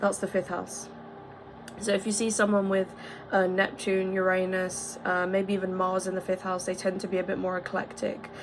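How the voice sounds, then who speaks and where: Monotone, flat delivery from a woman at medium pitch and a moderate pace, over noticeable background noise. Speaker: astrology video creator. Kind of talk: casual explainer monologue.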